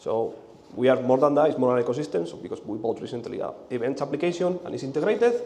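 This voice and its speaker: A man speaks at a very fast pace with a Spanish accent, fairly high pitch and very wide pitch swings. His loudness swings a lot, and the room echo is audible. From Spain. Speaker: conference speaker, software engineer. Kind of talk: conference talk. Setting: stage with audience. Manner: halting, with repetitions and fillers.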